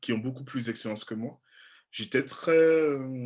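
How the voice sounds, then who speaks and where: The voice belongs to a man. He speaks with an Antillean accent. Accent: Antillean French accent, noticeable. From French Caribbean (Antilles). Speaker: journalist and TV presenter. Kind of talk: interview. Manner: halting, many fillers.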